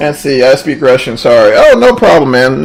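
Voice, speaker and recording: A man with an American accent speaks in an animated tone over noticeable background noise. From Texas. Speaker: flight sim streamer. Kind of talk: live stream commentary. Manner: casual, animated.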